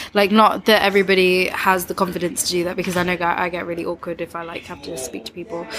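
A woman talks at a very fast pace with hardly any pauses and fairly even intonation. Her pitch is fairly low, and noticeable background noise is present. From East Midlands, England. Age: 20s. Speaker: tattoo artist. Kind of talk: casual chat.

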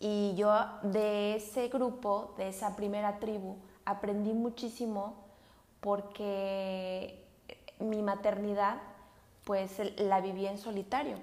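A woman's medium-pitched, monotone voice at a very slow pace, with long, frequent pauses and audible room echo. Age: 20s. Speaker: podcast host, educational psychologist. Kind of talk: casual monologue. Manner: halting.

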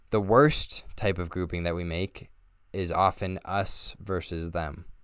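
With an American accent, a man speaks in a very deep, low pitch on a very clean recording with a silent background. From Northern Colorado, US. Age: 20s. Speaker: podcast host. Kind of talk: scripted narration.

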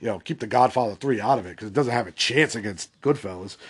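Against a quiet background, a man with an unremarkable speaking voice and medium pitch talks at a fairly quick pace. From Boston area, US Northeast. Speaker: podcast host. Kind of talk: solo movie-opinion podcast, casual and conversational; at 27:58 an angry, sweary rant. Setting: solo podcast recording. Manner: rambling, filler-heavy, casual.

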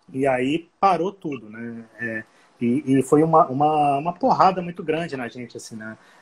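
An ordinary speaking voice from a man, fairly high in pitch with ordinary pitch variation, at a moderate pace with big swings in loudness. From Rio de Janeiro, Brazil. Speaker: hostel co-founder. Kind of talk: casual live-stream conversation. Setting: Instagram live.

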